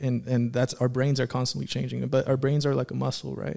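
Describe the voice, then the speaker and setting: A man's medium-pitched voice with an American accent, dark and mellow in tone, at a very fast pace. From Antelope Valley, Southern California. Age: 20s. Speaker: small business co-owner. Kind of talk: casual chat. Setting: studio.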